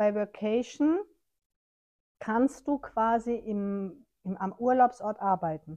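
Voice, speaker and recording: A woman speaks at a very slow pace with long, frequent pauses, in a dark, mellow tone at a fairly high pitch. Her pitch varies in an ordinary way, and the sound is dry and close with no echo. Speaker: podcast co-host. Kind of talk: casual chat. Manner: laughs often.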